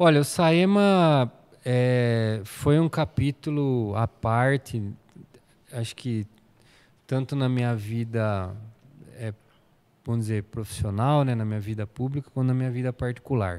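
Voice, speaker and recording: A man talks at a fairly slow pace with long, frequent pauses. His pitch varies in an ordinary way. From São Paulo state, Brazil. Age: 40s. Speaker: municipal planning secretary, architect; interview guest. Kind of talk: interview. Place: studio. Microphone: studio mic.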